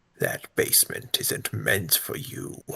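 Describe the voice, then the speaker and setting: Doing a put-on character voice, a man sounds raspy and speaks at a fairly slow pace. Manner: sinister, ominous.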